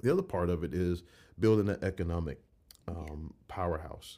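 A man's very deep, low voice with a Georgia accent, dark and mellow in tone, ordinary pitch variation, on a very clean recording with a silent background. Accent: Southern American (Georgia). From US South, Jackson, Georgia. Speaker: mayoral candidate. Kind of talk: casual interview.

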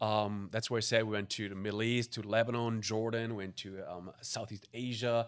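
A man's medium-pitched voice in a German accent, monotone and flat, at a moderate pace with hardly any pauses. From Germany. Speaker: missions pastor. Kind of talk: casual chat. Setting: studio.

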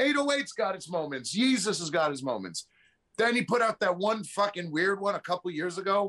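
This man has a high pitch and a bright, sharp tone, with a New York accent. He talks at a moderate pace with lively intonation. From New York City. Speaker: podcast guest. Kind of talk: casual chat.

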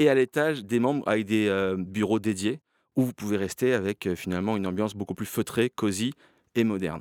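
Here a man's voice sits fairly low. He moves at a fairly quick pace with ordinary pitch variation. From France, Toulon. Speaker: coworking space owner. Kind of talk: podcast interview, pitch-like presentation.

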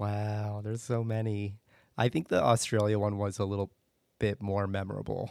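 A man with an American accent speaks at a moderate pace in a fairly low pitch, his intonation flat and monotone, on a very clean recording with a silent background. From US Northeast, suburban Philadelphia. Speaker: jazz club director of operations. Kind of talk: casual interview.

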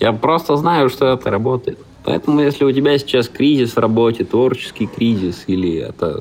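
This man has a plain, everyday voice, medium in pitch, with ordinary pitch variation and a moderate pace. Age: 30s. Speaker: stand-up comedian and creative producer. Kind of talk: scripted narration.

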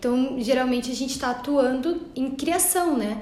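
Recorded with audible room echo and noticeable background noise, a woman talks at a moderate pace with a high pitch. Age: 30s. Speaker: entrepreneur, branding specialist. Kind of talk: interview.

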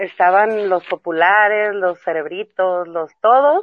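At a fairly slow pace, a woman speaks in a normal speaking voice at medium pitch. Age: 30s. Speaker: mother and school friend of host. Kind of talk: casual chat.

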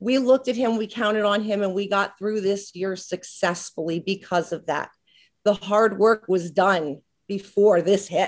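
In a plain, everyday voice, a woman speaks at a medium pitch and a moderate pace. Her intonation stays fairly even. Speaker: school staff member. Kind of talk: prepared tribute speech. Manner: thorough, a bit formal.

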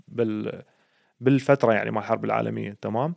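A moderate pace in an Iraqi accent, with a dry, close sound and no echo. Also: man. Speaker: podcast host. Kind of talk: casual chat.

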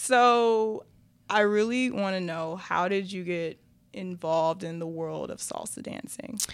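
A woman talks at a fairly slow pace in a medium pitch. She has an ordinary speaking voice. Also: ordinary pitch variation. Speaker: podcast host. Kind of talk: casual interview.

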